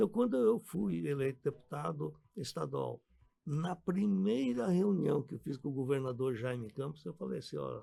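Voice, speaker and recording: A man's voice has a dark, mellow tone and fairly high pitch. He moves at a moderate pace with very wide pitch swings. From Brazil. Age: 70s. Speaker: physician and businessman, former state deputy. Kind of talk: radio interview.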